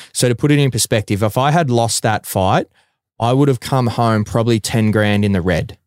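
A man talks at a fairly quick pace in a medium pitch, with ordinary pitch variation and very even loudness. The sound is dry and close with no echo, on a very clean recording with a silent background. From Australia, Bacchus Marsh, Victoria. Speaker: professional mixed martial arts fighter. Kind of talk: casual chat.

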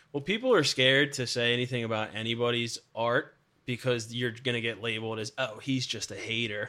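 A man talks at medium pitch in a bright, sharp tone. His pace is fairly quick and his intonation fairly even. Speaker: podcast guest. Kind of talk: casual chat. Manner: joking, casual.

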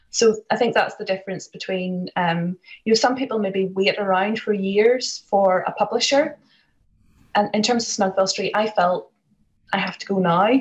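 With a Northern Irish accent, a woman speaks at a medium pitch and a moderate pace, somewhat breathy and with fairly even intonation. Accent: Northern Irish (County Antrim). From Northern Ireland, Larne, County Antrim. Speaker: author. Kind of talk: interview.

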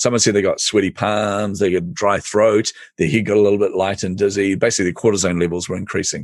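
Against a quiet background, a man with a New Zealand accent and fairly low pitch speaks at a very fast pace with hardly any pauses and fairly even intonation. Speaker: entrepreneurial coach. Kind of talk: podcast interview.

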